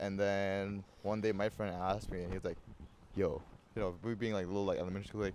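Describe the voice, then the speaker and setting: A man with a Burmese accent speaks in a fairly low pitch with a dark, mellow tone. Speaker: podcast host. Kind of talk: casual chat. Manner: halting, many repeated words and fillers.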